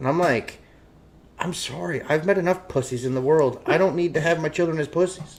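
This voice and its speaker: With ordinary pitch variation, a man keeps up a fairly quick pace. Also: fairly high pitch for a man. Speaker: talk show host. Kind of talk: casual chat. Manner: loud.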